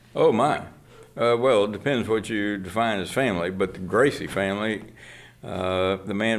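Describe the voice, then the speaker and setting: Amid audible room echo, a man with an American accent and a fairly low pitch speaks at a moderate pace with fairly even intonation. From Austin, Texas. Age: 70s. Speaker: archivist and professor. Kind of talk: interview. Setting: archive reading room. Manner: hesitant with frequent fillers.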